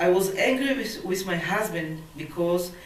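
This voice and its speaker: A woman speaks over noticeable background noise. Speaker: poet. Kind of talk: poetry reading.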